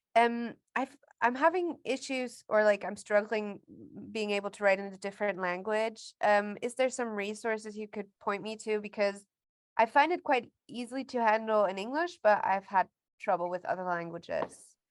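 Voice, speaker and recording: A woman speaks with a fairly high pitch at a moderate pace. The background stays quiet. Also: ordinary pitch variation. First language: German. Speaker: course participant. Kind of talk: casual chat. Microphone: video call.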